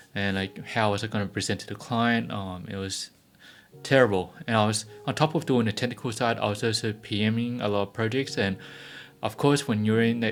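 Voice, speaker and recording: Speaking at a fairly quick pace, a man with an Australian accent uses a fairly low pitch and fairly even intonation. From Australia (Melbourne). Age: 30s. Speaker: YouTuber. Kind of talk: personal vlog storytelling. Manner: hesitant, many fillers.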